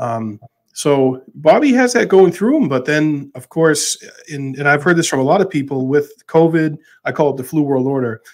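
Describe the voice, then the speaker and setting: A man speaks with an American accent at a moderate pace. His is an ordinary speaking voice, fairly high in pitch. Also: ordinary pitch variation. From Massachusetts. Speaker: podcast host. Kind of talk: casual chat.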